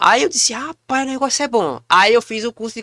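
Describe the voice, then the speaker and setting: A man speaks in a raised, projected voice with a bright, sharp tone. The sound is dry and close with no echo, on a very clean recording with a silent background. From Pernambuco, Brazil (Recife area). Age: 30s. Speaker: comedian and actor. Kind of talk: casual podcast interview.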